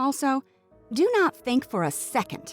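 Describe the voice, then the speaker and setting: Over music in the background, a woman speaks with very wide pitch swings in a dry, close sound with no echo. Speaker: voice-over artist. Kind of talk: opinionated rant to camera, read from a written post. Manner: impassioned, emphatic.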